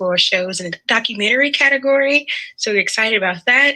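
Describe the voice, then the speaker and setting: Speaking at a very fast pace, a woman with a fairly high pitch shows ordinary pitch variation. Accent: Southern US. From US South. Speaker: podcast strategist. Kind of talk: presentation.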